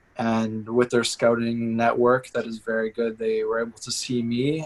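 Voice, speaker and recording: A man with a Canadian accent speaks at medium pitch and a moderate pace over noticeable background noise. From Canada (Toronto area), born in Madrid. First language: Spanish. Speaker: university soccer player. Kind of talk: interview.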